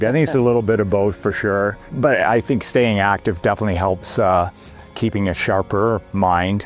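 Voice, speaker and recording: This man's voice is fairly low in pitch, with ordinary pitch variation and very even loudness. He talks at a fairly quick pace over music in the background. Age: 60s. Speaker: retiree and ski tourer. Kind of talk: interview answer. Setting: outdoors.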